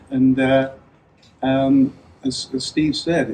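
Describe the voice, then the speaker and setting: A man with an English accent, dark and mellow in tone, in a monotone, flat delivery. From England. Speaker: tech futurist and author. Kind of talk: talk to a live audience. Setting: room with audience in a school.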